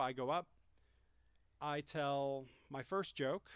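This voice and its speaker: A fairly high-pitched male voice with an American accent and ordinary pitch variation, on a very clean recording against a silent background. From Greenfield, Massachusetts. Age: 30s. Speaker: professional wrestler. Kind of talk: casual chat. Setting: outdoors.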